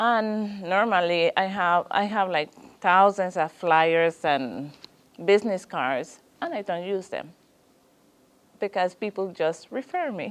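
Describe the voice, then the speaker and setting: The speaker talks with a Spanish accent at a very slow pace. Pitch variation is ordinary, and the pauses are long and frequent. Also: woman, medium pitch for a woman. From Guatemala. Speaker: small business owner. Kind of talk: business consultation interview. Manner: halting, hesitant.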